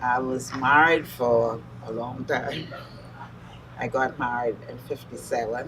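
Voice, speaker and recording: The speech comes at a very slow pace, with audible room echo around it. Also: woman. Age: 70s. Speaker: mother honored at church. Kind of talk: interview testimony.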